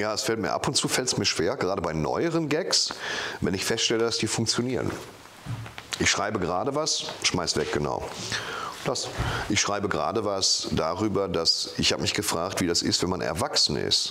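A man at a moderate pace, with long, frequent pauses and light background noise. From Dortmund, Germany. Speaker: comedian. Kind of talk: interview answer. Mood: relaxed, joking. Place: home room. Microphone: lapel.

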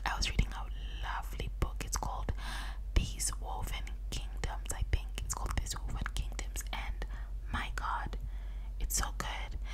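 A soft-spoken woman whispers at a moderate pace. Loud background noise fills the recording. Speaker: ASMR creator. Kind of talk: soft casual chat, ASMR-style. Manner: soft close-mic ASMR whisper. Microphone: studio mic.

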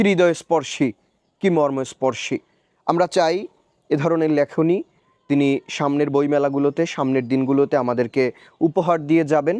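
Dry and close with no echo, a man's fairly high voice has a dark, mellow tone, very even loudness and ordinary pitch variation. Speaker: poetry reader and book reviewer. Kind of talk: poetry reading with commentary.

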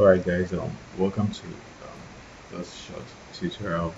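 In a put-on character voice, a man talks at a moderate pace, husky and very deep, over light background noise. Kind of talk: tutorial presenter.

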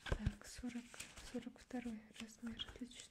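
Against noticeable background noise, a soft-spoken woman talks at a fairly slow pace in a monotone, flat intonation. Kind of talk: ASMR role-play. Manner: soft, quiet ASMR roleplay voice. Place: home room. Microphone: studio mic.

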